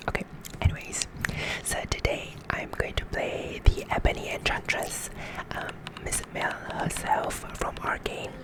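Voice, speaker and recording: A man whispering at a fairly slow pace over noticeable background noise. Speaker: gaming ASMR creator, League of Legends support player. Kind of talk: casual gameplay commentary to camera.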